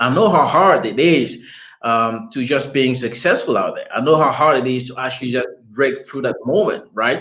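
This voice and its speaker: A bright, sharp tone carries lively intonation at a moderate pace. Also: man, fairly high pitch for a man. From DR Congo. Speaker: talk show host and entrepreneur. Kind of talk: live online interview. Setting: livestream.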